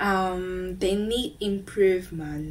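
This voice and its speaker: Audible room echo surrounds a woman speaking at a medium pitch. Her pitch varies in an ordinary way. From Macao, China. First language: Chinese. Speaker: student podcast host. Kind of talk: podcast outro monologue. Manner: hesitant with many fillers.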